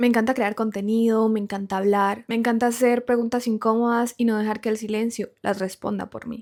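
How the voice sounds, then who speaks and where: A woman talks at a fairly quick pace and a fairly high pitch, with a Colombian accent and flat, monotone intonation. The recording is very clean, with a silent background. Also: hardly any pauses. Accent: Colombian Spanish, noticeable. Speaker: podcast host, content creator. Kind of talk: podcast monologue, reflective.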